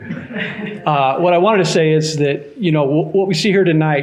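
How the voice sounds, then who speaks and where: Here a man speaks at a moderate pace with a fairly high pitch and ordinary pitch variation. Noticeable background noise is present. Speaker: county commissioner. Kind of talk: public meeting remarks. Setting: community meeting room with audience. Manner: soft-spoken.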